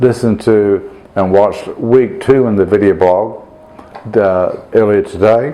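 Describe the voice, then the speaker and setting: Fairly slow, fairly low-pitched speech from a man with fairly even intonation and noticeable background noise. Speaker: priest recovering from a stroke. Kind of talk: video blog update. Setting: at home during Christmas dinner with friends. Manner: halting, many fillers.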